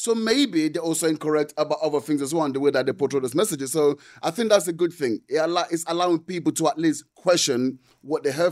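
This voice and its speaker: On a very clean recording with a silent background, a man talks at a very fast pace with a fairly high pitch and ordinary pitch variation. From Nigeria, then England from age 13. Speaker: property investor. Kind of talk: interview.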